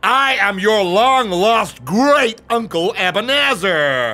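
A man puts on a cackling character voice, high-pitched and raised to project. He speaks very slowly, his pitch swinging very widely. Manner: wheedling then shouting, cackling.

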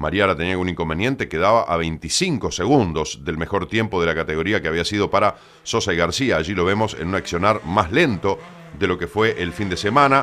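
Speaking at a fairly quick pace, a man uses an animated tone in a very deep, low pitch. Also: ordinary pitch variation. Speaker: motorsport TV presenter and rally commentator. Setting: studio. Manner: fluent, brisk, animated play-by-play delivery; rattles off split times and driver names with quick confident emphasis.

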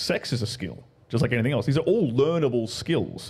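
A man with an Australian accent talks at medium pitch. His voice is somewhat breathy, with lively intonation. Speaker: guest commentator. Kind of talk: casual chat. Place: studio. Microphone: studio mic.

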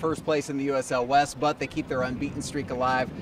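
A man speaks at a fast pace with fairly high pitch and fairly even intonation, with background noise clearly audible.

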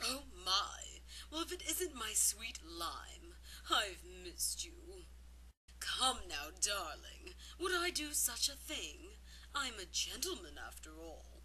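A woman puts on a cartoonish character voice at a fairly slow pace, with long, frequent pauses and clear background noise. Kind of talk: animation audition reel. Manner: suave.

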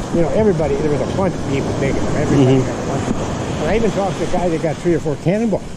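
Loud background noise fills the recording. The speech comes at a very fast pace. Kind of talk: casual conversation while walking. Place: beach.

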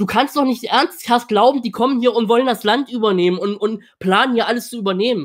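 The speech moves at a fairly quick pace with hardly any pauses over a quiet background. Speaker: political commentator. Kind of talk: reaction stream commentary. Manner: blunt. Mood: indignant, dismissive. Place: home room.

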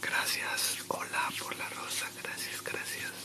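A man whispers, soft-spoken and very slow. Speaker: live streamer. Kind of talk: casual live stream chat. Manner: soft close-mic ASMR whisper. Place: home room. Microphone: studio mic.

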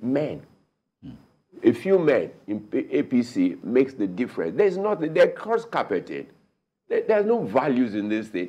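Very wide pitch swings run through this dark, mellow tone with vocal fry, delivered at a moderate pace. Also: man. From Nigeria. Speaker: political analyst. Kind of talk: TV panel debate. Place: studio. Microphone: lapel.

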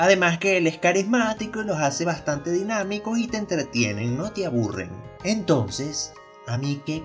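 Music plays behind a man speaking at a high pitch. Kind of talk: casual humorous commentary to camera.

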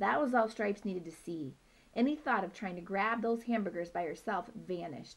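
Plain reading aloud, its pitch moving in an ordinary way

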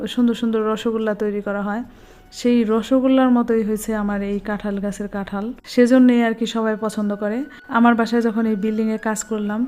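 A woman talks at a fairly high pitch in a monotone, flat intonation. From Bangladesh. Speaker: lifestyle vlogger. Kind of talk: vlog narration. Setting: home garden and rooftop.

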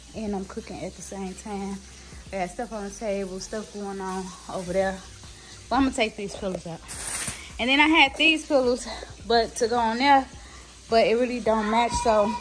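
A woman's loudness swings widely, with long, frequent pauses. Her pitch variation is ordinary, over light background noise. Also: moderate pace. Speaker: homeowner vlogger. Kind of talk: casual vlog chat. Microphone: phone near.

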